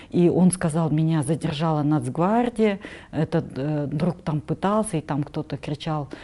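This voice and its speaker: The voice has a dark, mellow tone. It moves at a moderate pace with ordinary pitch variation. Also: woman. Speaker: culturologist and writer. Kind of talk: interview conversation.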